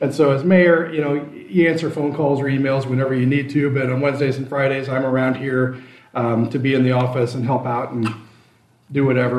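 A man speaks at a fairly quick pace with a Midwestern American accent. Room echo is audible. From Iowa. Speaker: small-town mayor. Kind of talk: interview.

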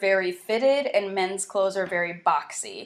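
A woman talks in a normal speaking voice with an American accent. Her pitch is medium and her pace moderate. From US South, South Carolina. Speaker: clothing brand founder and activist. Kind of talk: interview.

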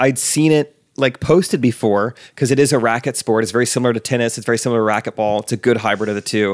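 A man's medium-pitched voice with an American accent, at a very fast pace. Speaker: podcast host. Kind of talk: casual chat.

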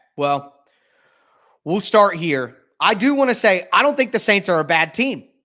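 A man with a high voice for a man and an American accent, bright and sharp in tone, raised and projected, at a moderate pace with very wide pitch swings, on a very clean recording over a silent background. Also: long, frequent pauses. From Ohio, US. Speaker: sports podcast host and writer. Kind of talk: casual sports analysis chat.

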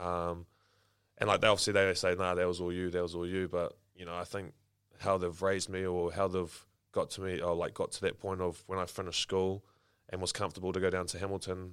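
A man with a New Zealand accent talks at a very fast pace in a very deep, low voice. His intonation is monotone and flat, and the recording is very clean with a silent background. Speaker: professional rugby player. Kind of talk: interview.

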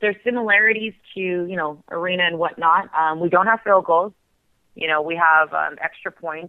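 A woman's fairly low voice with ordinary pitch variation, at a moderate pace. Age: 20s. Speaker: women's football player. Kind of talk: casual interview. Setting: phone call.

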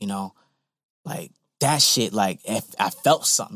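This man has a plain, everyday voice with an American accent. He talks at a fairly quick pace with lively intonation. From Virginia Beach area. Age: 30s. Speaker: visual artist. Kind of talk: casual interview.

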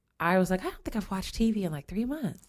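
A woman with an American accent talks at a medium pitch in an unremarkable speaking voice. Her intonation is lively. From Springfield, Illinois, US Midwest. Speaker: singer and community volunteer. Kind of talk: casual chat.

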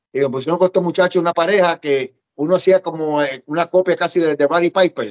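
Fairly quick speech from a man with a fairly high pitch. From Puerto Rico. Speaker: pro wrestler and promoter. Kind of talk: interview, storytelling.

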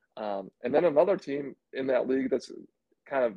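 At medium pitch, a man talks in a plain, everyday voice. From central Indiana. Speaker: college basketball podcast co-host, former player. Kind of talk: casual chat.

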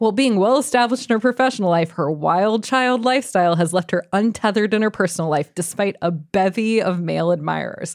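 A woman talks at a very fast pace with hardly any pauses. Her pitch sits in the medium range and her intonation is lively. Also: very even loudness. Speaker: podcast host. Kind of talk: casual interview chat. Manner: animated, enthusiastic.

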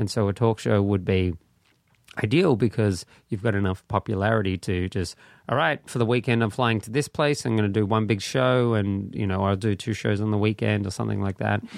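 The recording is very clean, with a silent background. Speech moves at a fairly quick pace with ordinary pitch variation. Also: man, fairly low pitch for a man. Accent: Australian. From Australia. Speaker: comedian. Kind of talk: casual chat. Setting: studio.

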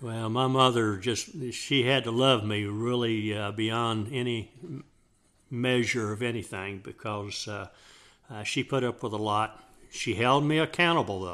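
This man speaks with a Texan accent. His pace is fairly slow. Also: medium pitch for a man, ordinary pitch variation. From Texas, Dallas area. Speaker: father of the host, Vietnam veteran. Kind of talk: casual chat. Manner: halting.

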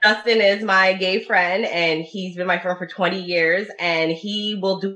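With a medium pitch and ordinary pitch variation, a woman talks. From Dearborn, Michigan. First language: Italian. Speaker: podcast host. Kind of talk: casual chat.

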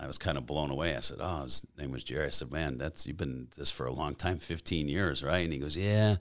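In an American accent, a man with a very deep, low voice and vocal fry talks with hardly any pauses and ordinary pitch variation on a very clean recording with a silent background. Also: fairly quick pace. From US Midwest, Chicago suburbs. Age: 50s. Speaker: former biker club president, bodybuilder. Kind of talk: casual interview. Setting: studio.

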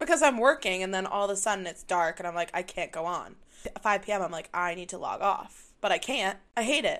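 A woman with a medium pitch speaks at a fairly quick pace in an animated tone with lively intonation. Her loudness swings widely against a quiet background. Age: 20s. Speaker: podcast co-host. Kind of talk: casual chat.

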